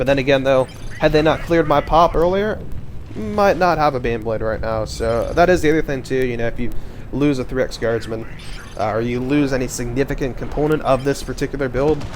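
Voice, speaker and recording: Over music in the background, a man talks at a fairly quick pace and medium pitch. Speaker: game caster. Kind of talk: gameplay commentary. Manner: stuttering today; filler-heavy, hesitant.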